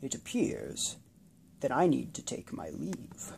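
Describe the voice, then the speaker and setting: A croaky put-on character voice at a fairly slow pace. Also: man. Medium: read story. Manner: calm, plain.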